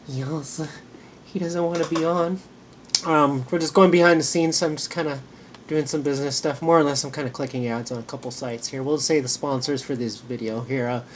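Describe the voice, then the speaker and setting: A fairly quick delivery against noticeable background noise. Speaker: small online business owner and channel host. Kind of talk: casual behind-the-scenes vlog. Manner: halting, many fillers.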